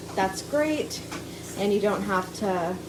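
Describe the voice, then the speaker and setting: There's noticeable background noise and audible room echo as a woman speaks. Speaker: product reviewer. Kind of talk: product review while walking on treadmill. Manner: casual, chatty with fillers.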